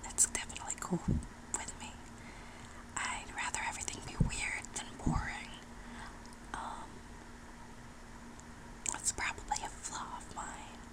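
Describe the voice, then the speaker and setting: Someone whispers at a fairly slow pace against noticeable background noise. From New Mexico, USA. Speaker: ASMR artist. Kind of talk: ASMR whisper ramble. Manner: whispered, close up.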